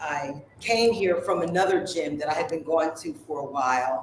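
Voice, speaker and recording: Noticeable background noise runs behind a woman's voice. She has a fairly low pitch and ordinary pitch variation. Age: 70s. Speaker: gym client. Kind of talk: casual radio interview.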